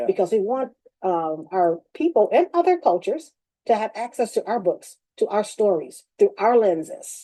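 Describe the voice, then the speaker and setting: A woman speaks at a moderate pace in a fairly high pitch with a dark, mellow tone. Her pitch swings very widely. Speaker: bookstore owner. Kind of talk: interview answer.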